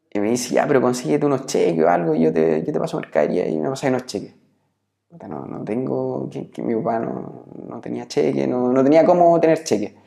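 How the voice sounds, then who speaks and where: A man with a Chilean accent, medium pitch, very wide pitch swings, and a fairly quick pace. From Chile, Biobío region (Nacimiento). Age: 30s. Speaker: entrepreneur, former tennis player. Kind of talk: interview. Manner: halting, many repetitions and fillers.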